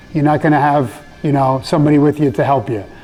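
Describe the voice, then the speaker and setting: A man speaks very fast with an American accent and a fairly high pitch. Music plays in the background. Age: 60s. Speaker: martial arts instructor. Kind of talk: interview.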